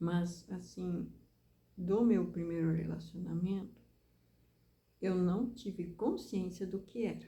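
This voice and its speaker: A woman's very slow speech with long, frequent pauses and audible room echo. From southern Brazil, Rio Grande do Sul. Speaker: preacher. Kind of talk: sermon-style talk.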